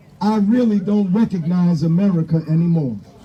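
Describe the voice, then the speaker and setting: There is clear noise in the background. Through it, a man's voice can be heard. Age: 60s. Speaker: rally speaker. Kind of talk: protest speech. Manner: impassioned, repetitive emphasis.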